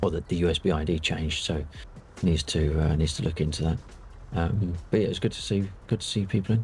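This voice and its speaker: A soft-spoken man with a very deep, low pitch talks at a very fast pace with ordinary pitch variation. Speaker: flight sim streamer. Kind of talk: casual chat.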